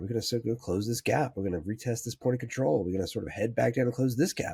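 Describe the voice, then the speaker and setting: A man talks at a very fast pace, his pitch medium. His tone is dark and mellow, somewhat breathy. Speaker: stock trading analyst. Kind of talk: market analysis tutorial. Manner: hesitant with fillers.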